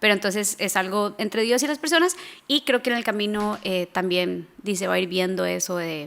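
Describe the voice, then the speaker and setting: In a Costa Rican accent, a woman with medium pitch speaks at a fairly quick pace on a very clean recording with a silent background. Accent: Costa Rican, notably the R. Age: 20s. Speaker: missions fundraising coordinator. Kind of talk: interview conversation. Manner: hesitant, many fillers.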